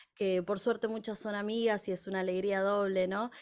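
A woman with a medium pitch speaks against a quiet background. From Argentina, La Plata. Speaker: folk singer and music teacher. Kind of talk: interview. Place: home room. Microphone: studio mic.

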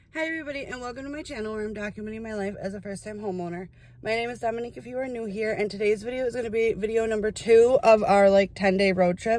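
Speaking at a very fast pace with hardly any pauses, a woman shows ordinary pitch variation. The sound is dry with no echo, and her loudness swings widely. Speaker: vlogger. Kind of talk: casual vlog chat. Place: car. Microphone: phone near.

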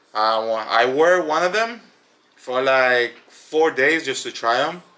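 Speaking with an American accent, a man uses lively intonation and a bright, sharp tone. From Chicago, Illinois. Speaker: YouTuber reviewing products. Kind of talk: casual product review. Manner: hesitant, many fillers. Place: home room. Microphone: phone near.

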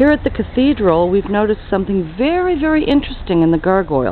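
A woman's voice at a moderate pace, dry with no echo, over light background noise. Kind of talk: casual travel commentary. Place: street. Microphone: phone near.

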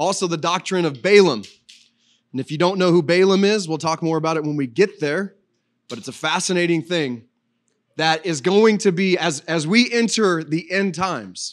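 This man has a high-pitched voice with ordinary pitch variation. He keeps a moderate pace over a quiet background. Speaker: pastor. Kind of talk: sermon. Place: church. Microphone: handheld.

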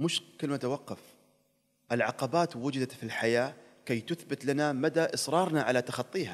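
In an Emirati accent, a man talks at a moderate pace with a fairly high pitch and ordinary pitch variation. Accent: Emirati Gulf Arabic. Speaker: TV presenter and traveler; TV presenter. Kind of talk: casual interview chat. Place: studio. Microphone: studio mic.

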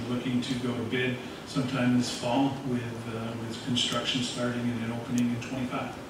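A man at a fairly quick pace with little pitch movement, audible room echo and clear background noise

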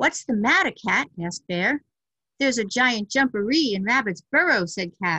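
The reading voice is unforced, and the background is quiet.

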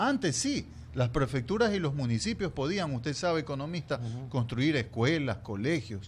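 A somewhat breathy man at a moderate pace, with light background noise. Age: old. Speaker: journalist turned political candidate; candidate. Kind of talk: radio interview. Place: studio. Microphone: studio mic.

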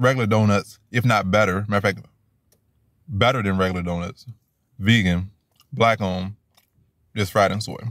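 Recorded dry with no echo against a quiet background, a man speaks at a moderate pace and fairly low pitch, varying his pitch in an ordinary way and leaving long, frequent pauses. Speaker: food reviewer. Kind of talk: casual vlog chat. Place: car. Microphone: phone near.

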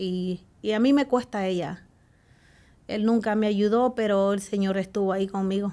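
A woman's dark, mellow tone at a moderate pace with fairly even intonation. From El Salvador. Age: 40s. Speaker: guest sharing her life story; guest. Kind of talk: testimony. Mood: earnest, emotional personal testimony. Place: studio. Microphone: studio mic.

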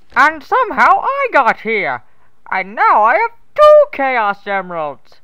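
A cartoonish character voice from a woman, high-pitched and at a fairly slow pace. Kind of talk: parody abridged dub. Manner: gleeful, gloating, childishly triumphant.

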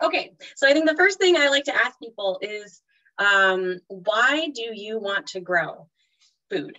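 With a quiet background, a woman speaks using lively intonation. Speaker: presenter. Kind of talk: webinar talk. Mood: warm, enthusiastic. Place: home room. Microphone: video call.

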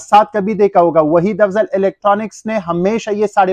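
Fairly slow speech with ordinary pitch variation, dry sound with no echo and a quiet background. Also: man. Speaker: shop seller. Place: shop. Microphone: phone near.

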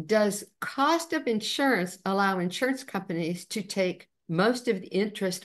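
A woman with an ordinary speaking voice, medium pitch and a fairly slow pace. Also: quiet background. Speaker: co-moderator reading chat questions. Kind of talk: reading questions aloud. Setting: video call.

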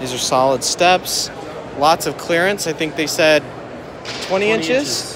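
A man at a fairly slow pace, dry sound with no echo, noticeable background noise. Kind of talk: casual product walkthrough commentary. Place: hall. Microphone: phone near.

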